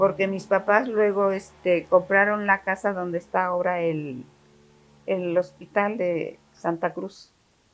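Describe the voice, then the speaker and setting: With music in the background, a woman at a medium pitch speaks very slowly and with fairly even intonation. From Mexico, Taxco (Guerrero). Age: 90s. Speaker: interviewee recounting family history. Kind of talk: interview. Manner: halting.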